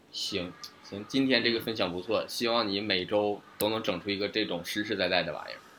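A fairly low-pitched man's voice with a bright, sharp tone, fairly even intonation and a fairly quick pace. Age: late 20s. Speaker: podcast co-host. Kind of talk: casual chat. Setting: online remote recording.

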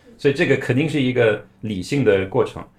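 A man is speaking. His pace is moderate. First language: not Chinese, foreign-born (speaking Chinese). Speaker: company founder, former Chinese video influencer. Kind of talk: casual interview.

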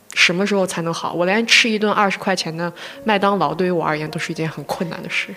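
Someone speaks at a very fast pace with a slight Gansu accent over noticeable background noise. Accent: slight Lanzhou. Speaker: podcast co-host. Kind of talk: casual chat.

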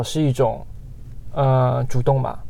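A man's dark, mellow voice sits at a medium pitch, and he talks at a moderate pace. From Guangxi / Yunnan, China. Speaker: podcast co-host. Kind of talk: casual chat.

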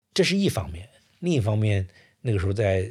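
This is a very clean recording with a silent background. The man talking has a somewhat breathy voice. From Suizhou, northern Hubei, China. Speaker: historian. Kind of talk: interview storytelling. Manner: halting, many filler sounds.

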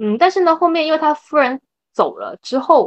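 The background stays quiet. A woman speaks fairly quickly. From Chaoshan, Guangdong. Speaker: medical social worker. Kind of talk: casual interview. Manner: halting, many fillers.

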